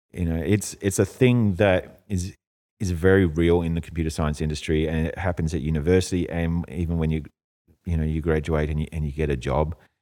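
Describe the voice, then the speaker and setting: Speaking at a fairly quick pace with an Australian accent, a man has a very deep, low pitch, a dark, mellow tone and fairly even intonation. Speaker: computer science teacher. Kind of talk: podcast interview. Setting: live recording at school.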